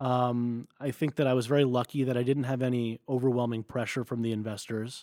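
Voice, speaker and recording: In a very clean recording with a silent background and a dry, close sound with no echo, a man with an American accent speaks at a medium pitch in a dark, mellow tone, with monotone, flat intonation, a fairly quick pace and hardly any pauses. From US Northeast (New Jersey). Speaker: business school student and former startup founder. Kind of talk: casual interview.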